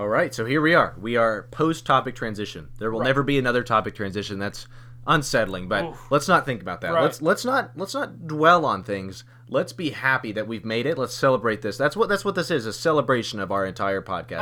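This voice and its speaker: A man speaks in a bright, sharp tone. His intonation is lively and his pace fairly quick. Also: medium pitch for a man. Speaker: podcast host. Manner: talkative, rambling.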